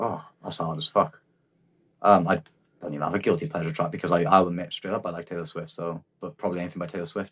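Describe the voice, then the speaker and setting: In a slight Welsh accent, a man speaks very fast with a very deep, low pitch and big swings in loudness. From South Wales Valleys. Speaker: rapper. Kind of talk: casual chat. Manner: halting.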